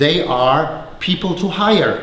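Audible room echo surrounds a man with a fairly high pitch. He speaks in a German accent with lively intonation. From Germany. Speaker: company founder and former teacher. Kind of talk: conference presentation. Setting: stage with audience.

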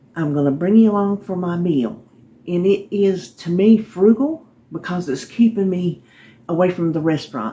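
A woman speaks at a moderate pace in a fairly low pitch. Her voice is somewhat breathy, with ordinary pitch variation. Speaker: home cooking vlogger. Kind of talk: casual vlog chat. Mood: friendly, upbeat. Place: kitchen. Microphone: phone near.

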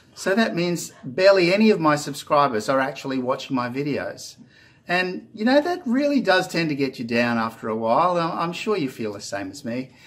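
A man with an Australian accent, fairly high in pitch, very wide pitch swings, moderate pace. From Australia (Queensland). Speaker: YouTuber. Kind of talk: casual vlog monologue. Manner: hesitant, many fillers. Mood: earnest, encouraging. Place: home room. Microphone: phone near.

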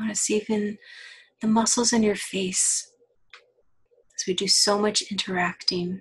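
A somewhat breathy woman's voice at medium pitch, fairly slow, with long, frequent pauses. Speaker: counselor. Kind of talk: guided body-scan meditation. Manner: slow, soft-spoken.

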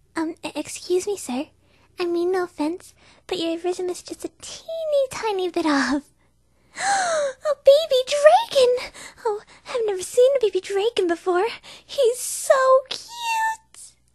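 A female-sounding put-on character voice at an extremely high pitch for a woman moves at a fairly slow pace with long, frequent pauses. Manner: soft-spoken, timid.

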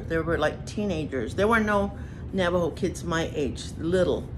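Faint music lingers in the background. The woman talks fairly slowly over it. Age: old. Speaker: Paiute elder, former boarding school student. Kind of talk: personal testimony. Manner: reflective, unhurried. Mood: calm, reflective. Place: home room. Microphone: phone near.

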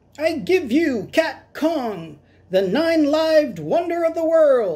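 A squeaky, high-pitched put-on character voice. It moves at a fairly slow pace. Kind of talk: storybook read-aloud. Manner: showman-like, proud announcement.

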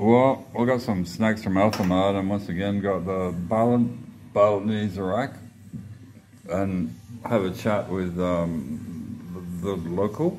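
Against light background noise, a man talks very slowly in a fairly low pitch. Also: ordinary pitch variation. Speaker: traveller vlogger. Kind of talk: casual vlog chat. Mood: relaxed, festive. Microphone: phone near.

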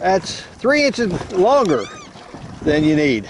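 There is light background noise, and the sound is dry with no echo. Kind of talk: casual vlog chat. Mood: cheerful, joking. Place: boat. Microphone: helmet.

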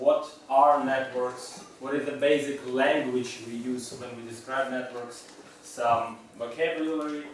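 A man speaks at medium pitch and a fairly slow pace, with audible room echo.

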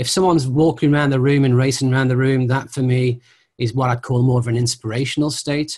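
Over a quiet background, a man talks at a fairly quick pace. His voice is somewhat breathy, and his intonation is fairly even. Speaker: interviewee, teacher. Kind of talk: interview answer. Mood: calm, thoughtful explaining. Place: home room. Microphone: video call.

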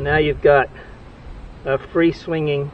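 A man talks slowly at a fairly high pitch with little pitch movement. Faint background noise sits behind him.

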